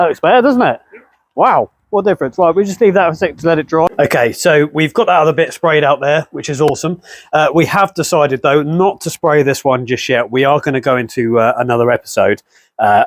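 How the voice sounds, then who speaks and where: Talking very fast with an English accent, a man uses lively intonation and a fairly high pitch, his sound dry with no echo over a quiet background. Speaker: car restoration YouTuber. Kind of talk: casual chat; casual vlog chat. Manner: whispering.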